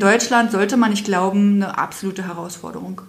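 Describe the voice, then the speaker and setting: Her medium-pitched voice stays flat and monotone while audible room echo and noticeable background noise surround this woman. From Brandenburg, eastern Germany. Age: 40s. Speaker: children's home founder. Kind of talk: interview.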